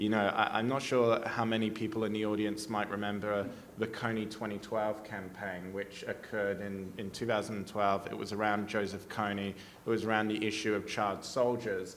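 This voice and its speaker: There's audible room echo as a man with a fairly low voice and an Australian accent talks in a monotone, flat way with hardly any pauses. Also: moderate pace. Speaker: policy advocate, panelist. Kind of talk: panel discussion. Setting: conference stage with audience.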